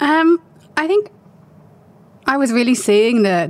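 The pace is moderate, delivered in a British accent. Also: woman. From UK. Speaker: marketing consultant and business founder. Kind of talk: interview.

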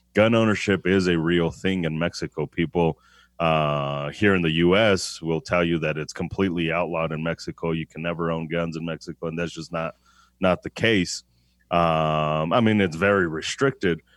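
Very deep, low male voice, intonation fairly even throughout. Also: moderate pace. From Denver, Colorado, to Mexican parents. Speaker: gun shop owner and firearms trainer. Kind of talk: casual interview.

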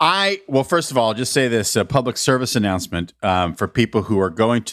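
A man talks at a fairly quick pace and medium pitch, his pitch swinging very widely. The recording is very clean, with a silent background. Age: 50s. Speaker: podcast host. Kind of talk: casual chat.

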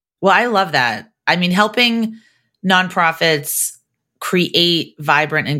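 With an American accent, a woman talks in a bright, sharp tone and lively intonation over a very clean recording with a silent background. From Massachusetts, US. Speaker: podcast host. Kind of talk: podcast interview.

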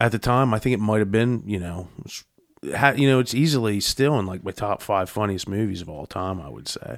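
A man's fairly low voice, an unremarkable speaking voice, moves with ordinary pitch variation in a very clean recording with a silent background. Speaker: panelist. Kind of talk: casual chat.

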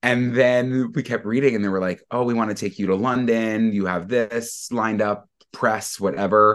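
A man with an American accent talks in an unremarkable speaking voice at a medium pitch. He keeps a moderate pace with hardly any pauses against a quiet background. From Long Island, New York. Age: 20s. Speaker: podcast cohost. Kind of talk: casual interview storytelling.

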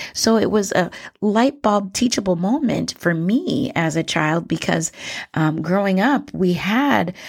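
On a very clean recording with a silent background, a woman with a plain, everyday voice talks at a fairly slow pace with lively intonation. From Minnesota (born in Liberia). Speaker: educator and podcast host. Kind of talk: educational monologue. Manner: frequent fillers (um, uh).

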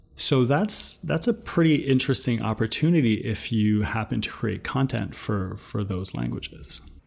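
Vocal fry runs through this voice, which moves at a moderate pace with lively intonation. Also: man, medium pitch for a man. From New Brunswick, Canada (Acadian). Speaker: founder of a voice data company. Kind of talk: podcast interview, recorded answers.

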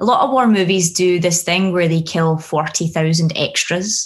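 Speech comes at a moderate pace in a voice that is somewhat breathy. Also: woman. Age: 30s. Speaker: screenwriter. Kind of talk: interview.

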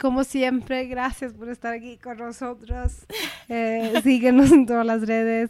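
Someone with a Mexican accent speaks at a fairly slow pace in a monotone, flat intonation over noticeable background noise. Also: woman, high pitch for a woman. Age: 30s. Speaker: podcast co-host. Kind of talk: casual chat.

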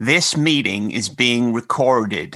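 A man's put-on character voice at medium pitch, with ordinary pitch variation and a fairly slow pace. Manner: strange, eerie.

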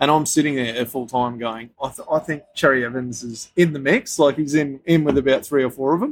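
A man in an Australian accent with a fairly high pitch, talking fairly quickly with fairly even intonation and hardly any pauses, music in the background. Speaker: sports betting podcast host. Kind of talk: casual chat.

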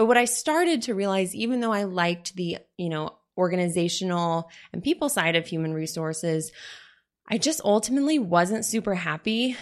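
A woman with an ordinary speaking voice talks at a fairly quick pace with lively intonation and medium pitch against a quiet background. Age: 20s. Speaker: podcast host, business coach. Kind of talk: casual monologue.

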